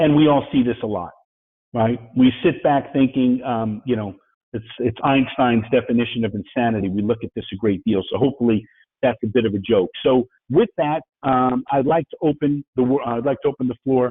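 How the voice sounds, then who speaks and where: In a New York accent, a man talks at a medium pitch with ordinary pitch variation. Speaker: business speaker, IT entrepreneur. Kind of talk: webinar presentation. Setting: webinar. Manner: fast.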